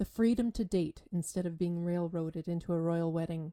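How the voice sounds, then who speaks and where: With a dark, mellow tone and fairly low pitch, a woman speaks fairly slowly in fairly even intonation, the sound dry and close with no echo. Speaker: voice actor. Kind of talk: short story reading.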